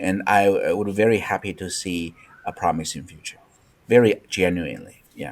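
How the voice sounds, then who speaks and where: With a Chinese accent, a man talks at a moderate pace and a fairly low pitch, with ordinary pitch variation and big swings in loudness. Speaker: academic. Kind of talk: webinar discussion. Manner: halting.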